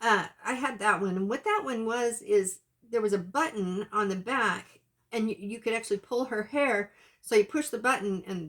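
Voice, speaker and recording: A woman's fairly high-pitched voice with ordinary pitch variation, on a very clean recording with a silent background. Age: 60s. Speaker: YouTuber, reborn doll collector. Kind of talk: casual vlog chat. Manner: halting, many fillers and restarts.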